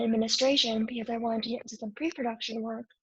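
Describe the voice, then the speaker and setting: A quiet woman's voice, fairly high in pitch, with monotone, flat intonation. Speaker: media program graduate, guest. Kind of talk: interview.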